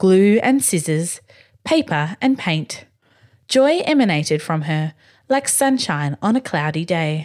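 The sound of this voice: This is an unforced reading voice. Nothing more is measured.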